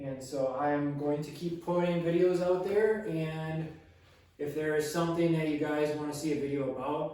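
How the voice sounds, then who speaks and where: In an American accent, a man with a fairly high pitch talks at a moderate pace with fairly even intonation, over noticeable background noise and audible room echo. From Wisconsin, US Midwest. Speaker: arborist and logger. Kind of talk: product review. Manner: casual, hesitant with fillers.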